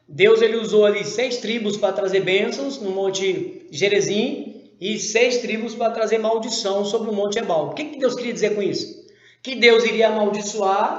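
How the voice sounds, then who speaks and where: Over noticeable background noise, a man with a high pitch talks at a fairly slow pace with ordinary pitch variation. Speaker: Bible teacher. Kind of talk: Bible study lesson.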